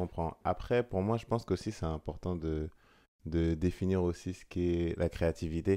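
A man speaks with a very deep, low pitch, a dark, mellow tone and fairly even intonation against a quiet background. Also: moderate pace. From France, Seine-et-Marne; France. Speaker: photographer; guest. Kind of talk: casual chat; interview answer. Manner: hesitant, many fillers. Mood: calm, reflective. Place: home room. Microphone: studio mic.

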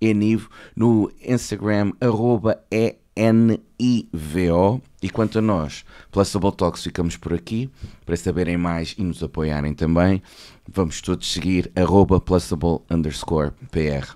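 Against a quiet background, a man with a European Portuguese accent speaks very slowly in a very deep, low voice with a dark, mellow tone. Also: ordinary pitch variation. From Portugal. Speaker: podcast host. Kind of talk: interview. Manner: deliberately clear. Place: studio. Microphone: studio mic.

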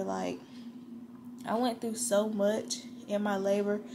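A woman's fairly even intonation over noticeable background noise. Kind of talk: casual vlog chat. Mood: tender, emotional, reflective. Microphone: phone near.

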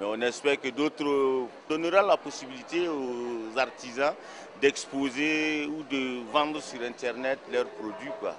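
Over faint background noise, the voice has a fairly bright tone, ordinary pitch variation and a fairly slow pace. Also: man, medium pitch for a man.

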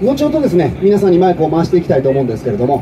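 A man speaks over noticeable background noise. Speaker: politician at a street rally. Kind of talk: political street speech. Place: street. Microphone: pa.

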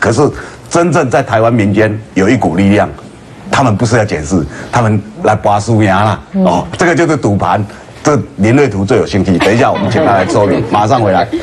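At a fairly quick pace, a man with a fairly low pitch speaks with lively intonation and very even loudness. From Taiwan. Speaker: political talk show host. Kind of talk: political talk show discussion. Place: studio.

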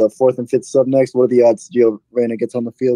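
Against a quiet background, a man with a dark, mellow tone talks at a very fast pace. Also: dry sound with no echo. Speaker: caller. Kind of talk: casual call-in chat. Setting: voice call over Discord. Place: home room. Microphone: studio mic.

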